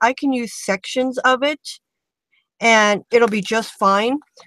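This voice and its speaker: A woman's high-pitched voice with ordinary pitch variation at a fairly slow pace, dry with no echo, against a quiet background. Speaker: craft tutorial host. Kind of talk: tutorial. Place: home room.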